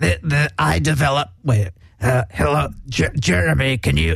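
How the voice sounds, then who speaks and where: Doing a put-on character voice, a man sounds very deep and low, croaky, with very wide pitch swings. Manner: playful.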